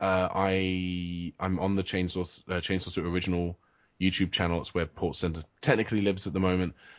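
A man speaks in a British accent at a fairly quick pace. His intonation stays monotone and flat. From England. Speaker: writer and web video creator. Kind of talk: casual interview chat. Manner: hesitant, self-deprecating, jokey.

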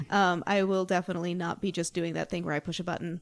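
Very fast speech comes from a woman with an American accent and a fairly low pitch. The recording is very clean, the background silent. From Salt Lake City, Utah. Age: 30s. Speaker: podcast co-host. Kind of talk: casual chat.

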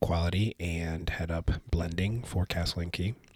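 A man's very deep, low voice, somewhat breathy, with fairly even intonation and a fairly slow pace. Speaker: whiskey brand ambassador and podcast co-host. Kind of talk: casual chat.

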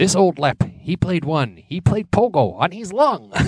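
A man's put-on character voice in an Irish accent, high-pitched, at a moderate pace. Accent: bad Irish. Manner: playful, taunting.

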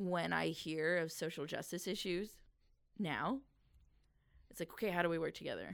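With vocal fry and a fairly low pitch, a woman talks with long, frequent pauses. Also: ordinary pitch variation, moderate pace. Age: 40s. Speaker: artist and nonprofit founder. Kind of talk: casual interview.

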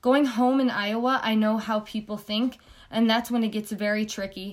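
Her pitch fairly high, a woman speaks at a moderate pace in a monotone, flat intonation. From Palestinian heritage. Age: 20s. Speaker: college student. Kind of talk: scripted narration reading others' testimonies.

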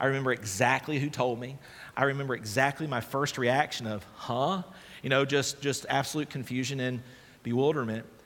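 A man talks in an unremarkable speaking voice at medium pitch. His pace is fairly quick and his intonation fairly even. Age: 30s. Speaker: pastor. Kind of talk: sermon. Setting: church.

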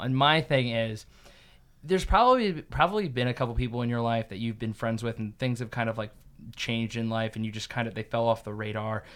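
On a very clean recording with a silent background, a man speaks in a normal speaking voice at medium pitch and a fairly quick pace, with big swings in loudness. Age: 20s. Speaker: podcast host. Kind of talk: casual chat.

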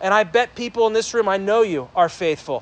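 A man shouts loudly in a high pitch with an animated tone. His pitch variation is ordinary. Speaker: pastor. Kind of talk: sermon. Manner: loud, yelling to reach the back.

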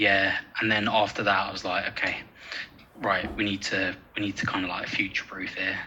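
A man talks at a moderate pace in a fairly low pitch with monotone, flat intonation. His long, frequent pauses sit over noticeable background noise. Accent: English. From North London (Edmonton). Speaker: university lecturer in sport science. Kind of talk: casual interview chat.

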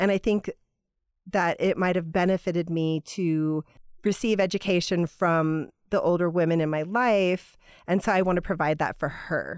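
A woman talks in an ordinary speaking voice at a moderate pace, with a fairly low pitch, fairly even intonation and very even loudness. The recording is very clean with a silent background and a dry, close sound with no echo. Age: 40s. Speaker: artist and designer. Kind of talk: casual chat.

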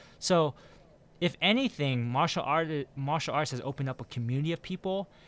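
A man with a fairly high pitch and lively intonation talks at a moderate pace in a very clean recording with a silent background. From US West Coast, San Francisco Bay Area. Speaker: podcast host. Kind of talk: casual chat.

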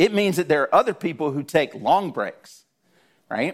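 Speaking at a moderate pace in a Southern US accent, a man lets his pitch swing very widely in a very clean recording with a silent background. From South Georgia, US. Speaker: guest preacher. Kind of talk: sermon.

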